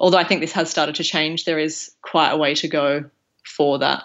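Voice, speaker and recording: A fairly low-pitched woman with an Australian accent, at a fairly quick pace. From Broken Hill, far west New South Wales, Australia. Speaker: junior doctor and PhD student. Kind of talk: interview.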